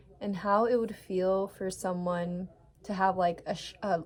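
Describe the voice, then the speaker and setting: Against noticeable background noise, a woman speaks at a fairly slow pace and medium pitch with monotone, flat intonation. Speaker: vlogger. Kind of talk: casual advice monologue to camera. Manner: halting, many fillers.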